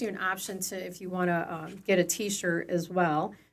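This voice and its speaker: This woman has a medium pitch and an American accent. Her delivery is monotone and flat at a moderate pace. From northern Illinois, US. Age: 50s. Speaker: elder care agency director. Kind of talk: interview. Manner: hesitant, many fillers.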